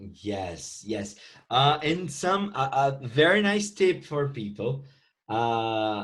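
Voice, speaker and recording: In a Portuguese accent, a man speaks at a very slow pace. His voice sits at a medium pitch but swings very widely. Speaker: English teacher podcast host. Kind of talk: casual interview.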